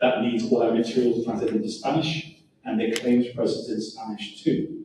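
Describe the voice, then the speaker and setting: A man with a non-native accent speaks at a fairly quick pace in a medium-pitched voice. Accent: foreign accent, noticeable. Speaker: home warranty sales representative. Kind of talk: sales pitch.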